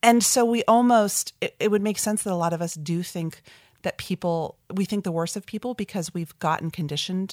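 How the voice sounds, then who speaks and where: With an American accent, a woman speaks in an unremarkable speaking voice at a medium pitch with ordinary pitch variation and a moderate pace, the sound dry and close with no echo on a very clean recording with a silent background. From New Jersey, New York metro area. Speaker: author and marketing agency founder. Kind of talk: interview.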